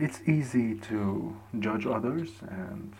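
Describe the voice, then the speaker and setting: A man's dark, mellow tone with lively intonation and vocal fry. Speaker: solo podcaster. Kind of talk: casual monologue. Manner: halting, repeats words.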